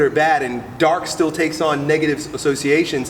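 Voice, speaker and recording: A man with an American accent speaks in an animated tone amid noticeable background noise and audible room echo. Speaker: strength coach. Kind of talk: casual interview.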